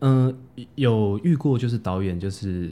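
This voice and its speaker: Ordinary pitch variation runs through the dark, mellow tone of a man's voice. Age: 30s. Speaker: actor and parkour coach. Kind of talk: casual interview.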